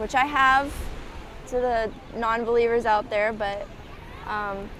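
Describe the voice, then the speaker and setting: Fairly slow and fairly high-pitched, a woman speaks with fairly even intonation. Audible room echo surrounds her voice. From Hawaii, Waikiki. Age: 20s. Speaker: surfer. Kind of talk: casual interview.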